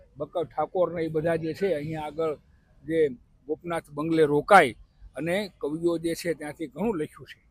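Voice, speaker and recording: Recorded dry and close with no echo, a man with a normal speaking voice talks at a fairly high pitch with fairly even intonation. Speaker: interviewed local resident. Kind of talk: street interview.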